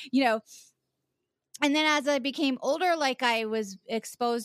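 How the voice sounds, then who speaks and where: A woman with an American accent, in a very clean recording with a silent background. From US South, Charleston, South Carolina. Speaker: actor and podcaster. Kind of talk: casual chat. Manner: halting, frequent laughter.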